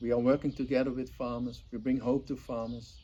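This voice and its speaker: A man talks with a Dutch accent. His tone is dark and mellow. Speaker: volunteer organizer. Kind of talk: promotional appeal. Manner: earnest, enthusiastic.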